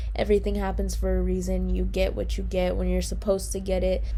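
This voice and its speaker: Over music in the background and audible room echo, a woman talks at a fairly quick pace. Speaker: lifestyle vlogger. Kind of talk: casual vlog talk. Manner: fast; animated.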